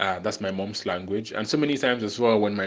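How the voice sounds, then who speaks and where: Against a quiet background, a man speaks at a fairly quick pace, fairly low in pitch and flat, monotone in intonation. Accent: Nigerian. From Nigeria, Lagos. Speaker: podcast host. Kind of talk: monologue podcast. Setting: solo recording, no background music.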